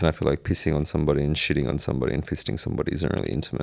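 The speech comes at a very fast pace with an Australian accent. Vocal fry runs through it. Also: man. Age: 20s. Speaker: podcast host. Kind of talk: casual Q&A monologue.

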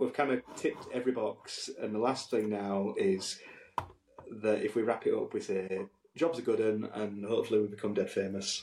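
A man at a moderate pace in a strong West Yorkshire accent. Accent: thick West Yorkshire. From northern England. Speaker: podcast co-host and musician. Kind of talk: casual chat. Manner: animated.

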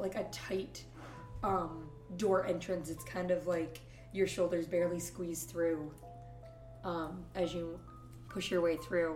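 A woman with an American accent talks at a fairly slow pace in a fairly low pitch, with long, frequent pauses and music in the background. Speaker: dungeon master, podcast host. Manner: casual, chatty narration.

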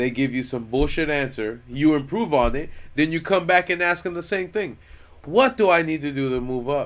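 This man's voice sits fairly high in pitch, with ordinary variation in its rise and fall. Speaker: podcast host. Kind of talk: casual chat. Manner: fast.

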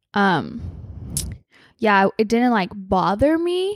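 Speaking at a fairly slow pace, a woman with a fairly high pitch sounds animated, her pitch swinging very widely on a very clean recording with a silent background. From Hawaii. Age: 20s. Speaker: podcast guest. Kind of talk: casual chat.

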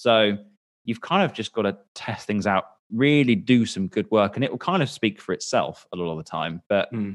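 In a quiet background with a dry, close sound and no echo, a man talks at a moderate pace in an ordinary speaking voice at medium pitch. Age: 20s. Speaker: business owner. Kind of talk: casual chat.

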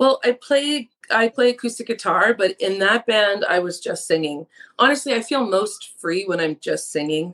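A fairly high-pitched woman at a moderate pace, lively in intonation, with a dry, close sound and no echo. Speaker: singer-songwriter. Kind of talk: casual interview.

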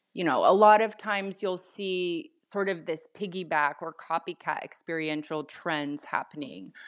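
A woman talks at a moderate pace with hardly any pauses in a normal speaking voice, fairly low in pitch with ordinary variation. The background is quiet. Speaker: marketing agency co-founder. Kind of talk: podcast interview.

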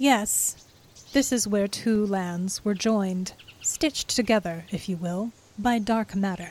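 Ordinary pitch variation in plain reading aloud

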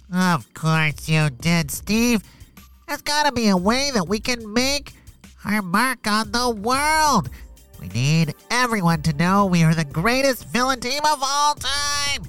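A man's high-pitched voice at a fairly slow pace, with very wide pitch swings and faint music in the background. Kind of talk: kids' audio story comedy. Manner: exasperated, sarcastic.

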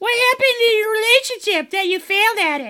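A squeaky, put-on character voice at an extremely high pitch and a very fast pace. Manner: jittery, manic.

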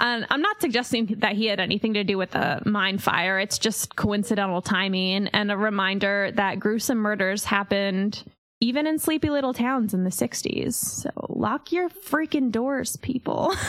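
Despite noticeable background noise, a woman with an American accent talks with lively intonation, very even loudness and hardly any pauses. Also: medium pitch for a woman, moderate pace. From Pennsylvania, Centralia area. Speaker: podcast host. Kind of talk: casual storytelling.

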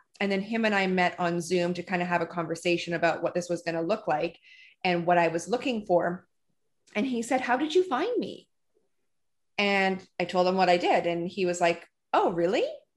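A woman's unremarkable speaking voice at medium pitch, fairly quick in pace, with ordinary pitch variation and a quiet background. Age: 40s. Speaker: podcast host and salon owner. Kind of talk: casual interview. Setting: video call.

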